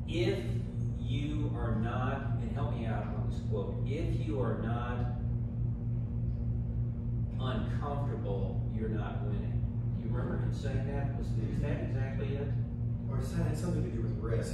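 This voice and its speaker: A man speaking at a fairly slow pace with long, frequent pauses, audible room echo and music in the background. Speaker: group leader or host. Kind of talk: informal talk to a group. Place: meeting room.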